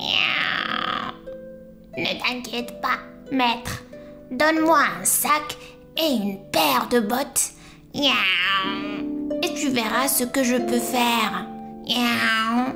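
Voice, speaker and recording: A female-sounding, high-pitched put-on character voice moves at a very slow pace. Clear music plays in the background. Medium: read story. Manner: punctuates speech with meows.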